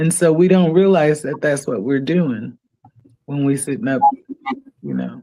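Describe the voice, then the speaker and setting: A woman's very deep, low pitch with ordinary pitch variation, a dark, mellow tone, a fairly slow pace and long, frequent pauses. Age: 60s. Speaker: podcast guest. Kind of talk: casual chat.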